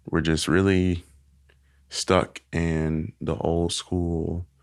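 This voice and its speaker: A man with an American accent speaks in a very deep, low voice and a flat monotone, recorded very cleanly against a silent background. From US South, Arkansas (Helena/West Helena, Little Rock). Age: 20s. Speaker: interview guest. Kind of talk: interview.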